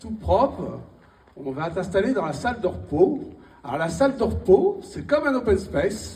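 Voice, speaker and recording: The speech moves at a fairly slow pace with long, frequent pauses. Audible room echo and noticeable background noise are present. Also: man. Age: 60s. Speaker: stand-up comedian. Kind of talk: stand-up. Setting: stage with audience.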